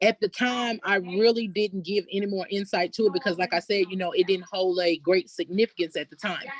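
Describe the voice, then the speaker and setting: A woman with an Arkansas accent talks at a medium pitch and a fairly quick pace, with fairly even intonation, hardly any pauses and a dry, close sound with no echo. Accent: Southern US (Arkansas). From US South, Elaine, Arkansas. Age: 30s. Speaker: descendant of massacre survivors, community member. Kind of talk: testimony. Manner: halting, with many fillers.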